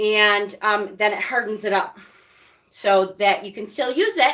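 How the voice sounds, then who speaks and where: A woman speaks at a fairly slow pace with a bright, sharp tone. Her pitch sits fairly high. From Rochester, New York. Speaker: witchcraft YouTuber. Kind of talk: live stream tutorial with chat. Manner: casual, chatty.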